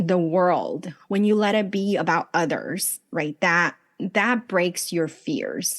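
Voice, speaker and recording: Over a quiet background, the speaker moves at a very slow pace with lively intonation. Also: woman. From US West Coast, Los Angeles. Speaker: life coach and business strategist. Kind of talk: podcast interview.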